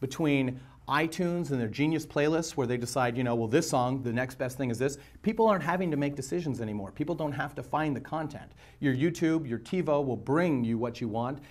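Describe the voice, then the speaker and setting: A man's fairly high voice at a fairly quick pace, showing ordinary pitch variation and an unremarkable speaking voice. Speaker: media company owner being interviewed. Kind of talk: interview answers. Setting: on-camera shoot with lights and mic.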